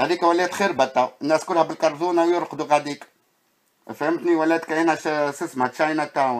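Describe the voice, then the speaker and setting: A man with a fairly high pitch at a fairly quick pace. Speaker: video blogger. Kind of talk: narrated walking video commentary. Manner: animated, exclamatory.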